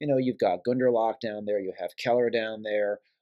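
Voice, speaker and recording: A man with an American accent, a fairly low pitch and a dark, mellow tone, against a quiet background. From New York. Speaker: wine importer; guest. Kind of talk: casual chat. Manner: animated. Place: home room. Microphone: phone near.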